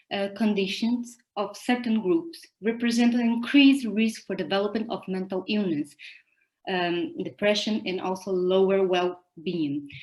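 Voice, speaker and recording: A woman with a Portuguese accent at a fairly slow pace. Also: medium pitch for a woman, lively intonation. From Brazil. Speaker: psychologist and conference presenter. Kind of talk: academic conference presentation.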